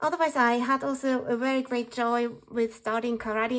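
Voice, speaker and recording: Over a silent background in a very clean recording, a woman with a non-native accent and a high pitch speaks at a moderate pace. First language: not English. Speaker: journaling vlogger. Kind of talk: tutorial. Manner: calm.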